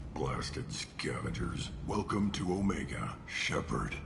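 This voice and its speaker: A man speaks in a put-on character voice at a fairly slow pace. Loud background noise runs under him. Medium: video game. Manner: curt, commanding.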